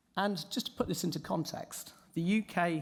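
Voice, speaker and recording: A man speaks with vocal fry and ordinary pitch variation. The recording is very clean, with a silent background. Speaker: conference speaker on betting. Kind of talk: conference presentation.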